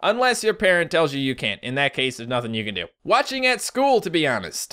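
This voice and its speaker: With a Newfoundland accent, a man rattles along at a very fast pace in a high pitch, his tone bright and sharp and his pitch swinging very widely, on a very clean recording with a silent background. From Newfoundland, Canada. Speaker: YouTuber. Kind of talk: casual comment-reading video. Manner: casual, with fillers.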